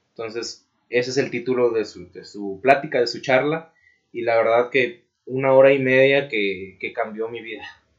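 A man with a Mexican accent, medium pitch and fairly even intonation, at a moderate pace with big swings in loudness. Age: 20s. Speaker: civil engineer and blogger. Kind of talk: casual interview. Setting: recording studio.

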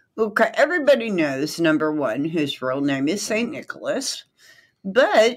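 In a very clean recording with a silent background, a woman with vocal fry speaks at a fairly slow pace, her pitch swinging very widely. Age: 60s. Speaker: podcast co-host. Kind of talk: reading aloud.

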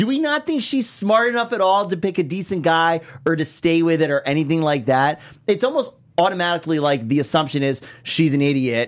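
A man with a high pitch speaks at a fairly quick pace, his tone animated and his intonation lively. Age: 30s. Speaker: TV recap co-host. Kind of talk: casual chat.

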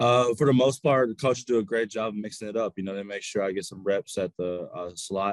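An American accent comes through as a man talks at a fairly quick pace with hardly any pauses, at a fairly low pitch with ordinary pitch variation. The sound is dry and close, with no echo. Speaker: college football player. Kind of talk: interview. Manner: halting.

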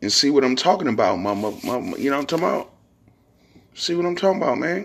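A man with an American accent speaks at a fast pace and a medium pitch, making big pitch swings. His voice has vocal fry and a slightly husky edge.

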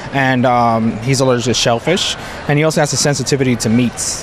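There is noticeable background noise as a man with an American accent speaks at a medium pitch. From New York City. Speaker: parent and food allergy advocate. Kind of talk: interview. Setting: festival. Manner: halting.

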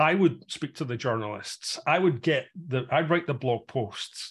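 A somewhat breathy man's voice at medium pitch, with ordinary pitch variation and a moderate pace, on a very clean recording with a silent background. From Scotland, Glasgow. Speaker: tech executive and investor. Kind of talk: interview. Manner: halting, many fillers.

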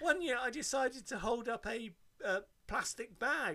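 With a bright, sharp tone, the speaker raises and projects the voice. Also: man. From Devon, England. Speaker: podcast co-host. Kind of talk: casual chat. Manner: animated.

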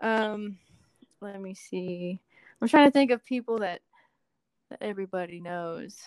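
Speaking at a fairly slow pace with long, frequent pauses, a woman at medium pitch shows ordinary pitch variation and big swings in loudness, in a dry, close sound with no echo. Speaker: assistant director on film sets. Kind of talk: casual interview chat. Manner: laid-back, chill.

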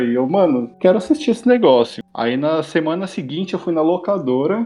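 Lively intonation marks a man's ordinary speaking voice as he talks at a fairly quick pace. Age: 20s. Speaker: advertising professional, series fan. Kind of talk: casual chat.

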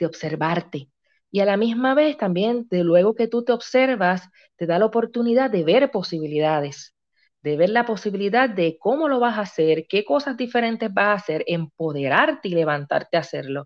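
In a Puerto Rican accent, a woman talks at a moderate pace with very wide pitch swings. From Puerto Rico, Río Grande. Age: 40s. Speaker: family coach and dessert shop owner. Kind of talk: interview testimony.

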